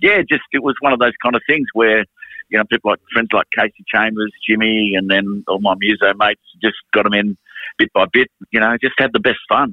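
At a fairly quick pace, a man with an Australian accent speaks at medium pitch with fairly even intonation and very even loudness. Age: 50s. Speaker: music manager and musician. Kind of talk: casual chat.

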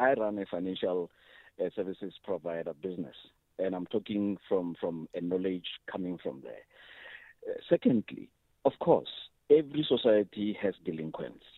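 A man with a plain, everyday voice speaks at a moderate pace. His fairly low voice has lively intonation. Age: young. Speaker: business owner, radio caller. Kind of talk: call-in comment. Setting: phone call.

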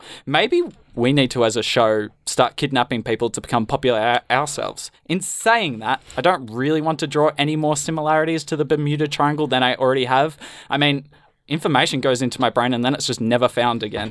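A man's medium-pitched voice with ordinary pitch variation and a fairly quick pace, on a very clean recording with a silent background and a dry, close sound with no echo. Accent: Australian. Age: young. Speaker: student radio host. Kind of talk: comedy news show.

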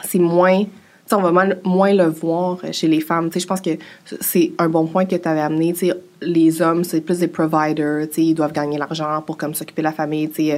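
A woman with a Quebec accent speaks at a fairly low pitch and a moderate pace. Her intonation is monotone and flat, and the recording is very clean with a silent background. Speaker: personal finance influencer. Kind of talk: interview.

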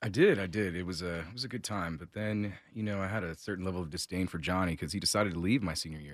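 A man speaks very fast in a very deep, low pitch with ordinary pitch variation. The recording is very clean, with a silent background. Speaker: financial advisor. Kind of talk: casual chat.

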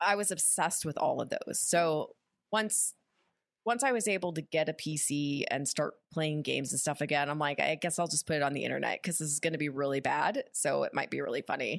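A woman's very deep, low voice at a fairly quick pace, with ordinary pitch variation. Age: 30s. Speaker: actress and streamer. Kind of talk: casual chat.

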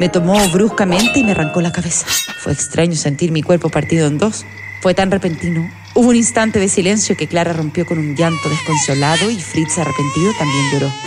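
A woman's fairly low voice in a gentle, animated tone, with lively intonation and a fairly quick pace over noticeable background noise. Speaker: storyteller narrator. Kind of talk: dramatic storytelling narration, first person as the nutcracker. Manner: animated, expressive, shifts tone for characters; gentle, wistful, nostalgic.

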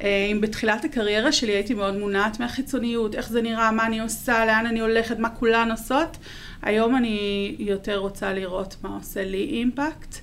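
Speaking in an unremarkable speaking voice, a woman keeps a moderate pace, a fairly high pitch and fairly even intonation. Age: 40s. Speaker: marketing content manager. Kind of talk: interview.

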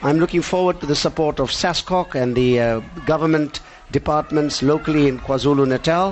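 A man's fairly high voice moves at a fairly quick clip while noticeable noise fills the background. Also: ordinary pitch variation. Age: 60s. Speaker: karate federation president and instructor. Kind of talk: live interview. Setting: studio.

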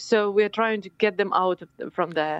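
A woman with a Ukrainian accent. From Ukraine. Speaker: politician. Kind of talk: interview. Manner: halting.

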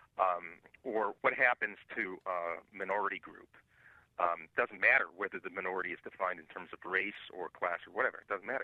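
A man speaks at a fairly quick pace. His loudness swings widely from moment to moment. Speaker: professor and writer. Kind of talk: interview discussion.

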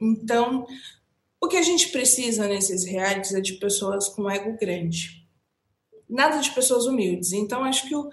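Here is an ordinary speaking voice with lively intonation. The pace is fairly slow. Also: woman. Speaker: entertainment podcast co-host. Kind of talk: casual chat.

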